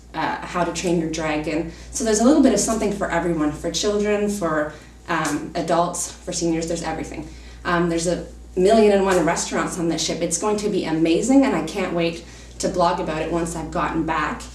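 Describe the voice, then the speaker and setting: A woman with a fairly low voice and ordinary pitch variation is heard amid noticeable background noise and audible room echo. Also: fairly quick pace. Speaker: travel vlogger. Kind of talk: casual talk to camera. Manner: fast; hesitant, many fillers.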